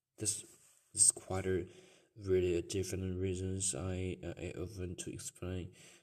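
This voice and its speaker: A man speaks with a Chinese accent in a very deep, low voice. His tone is dark and mellow, and his pace is fairly slow. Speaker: podcaster. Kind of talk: personal monologue. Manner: halting.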